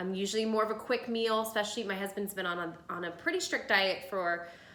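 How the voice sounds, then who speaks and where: Audible room echo surrounds a woman with an American accent who speaks at a fairly quick pace, her fairly high pitch showing ordinary variation. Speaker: lifestyle video host. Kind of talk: casual cooking tutorial. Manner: chatty.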